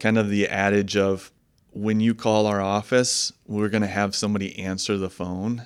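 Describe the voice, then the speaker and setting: With an American accent, a man delivers monotone, flat intonation at a fairly low pitch and a moderate pace on a very clean recording with a silent background. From Michigan, US Midwest. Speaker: investment manager. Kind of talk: interview.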